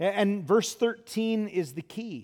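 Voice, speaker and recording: A man talks at a high pitch and a moderate pace. The recording is very clean, with a silent background. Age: 50s. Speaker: pastor. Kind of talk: sermon. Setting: church. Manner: halting.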